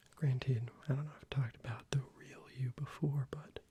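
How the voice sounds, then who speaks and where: Soft-spoken and somewhat breathy, a man talks at a fairly slow pace with a dark, mellow tone. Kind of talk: ASMR soft-spoken ramble. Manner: soft-spoken, rambling, casual.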